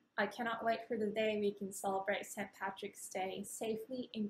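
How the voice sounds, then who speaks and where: A somewhat breathy woman's voice, fairly high in pitch, at a moderate pace. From Japan. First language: Japanese. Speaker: ceili dancer. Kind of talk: personal anecdote.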